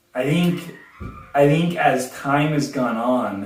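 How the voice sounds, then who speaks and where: Music plays in the background as a man with an American accent talks at a fairly high pitch with lively intonation. Audible room echo surrounds his voice. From Southern California. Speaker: husband in couple interview. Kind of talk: casual chat. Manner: loud; loud, cannot whisper.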